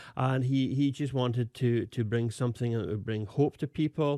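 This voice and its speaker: Recorded very cleanly against a silent background, a man with a Scottish accent speaks at a medium pitch with fairly even intonation, the sound dry and close with no echo. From Scotland. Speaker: pastor. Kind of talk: interview. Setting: studio. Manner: halting, with many fillers.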